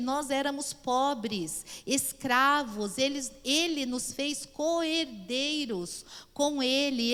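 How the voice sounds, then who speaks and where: Very slow speech from a woman with a high pitch and ordinary pitch variation. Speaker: pastor and Bible teacher. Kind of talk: Bible class lecture.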